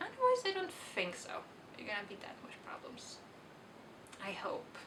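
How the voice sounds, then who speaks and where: Someone whispers at a moderate pace with a Swedish accent, the loudness swinging widely. Room echo is audible and background noise is noticeable. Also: woman. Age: 20s. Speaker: book vlogger. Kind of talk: casual vlog monologue. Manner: halting.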